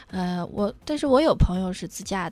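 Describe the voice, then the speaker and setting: Lively intonation marks this woman's speech. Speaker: radio journalist. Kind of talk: casual chat.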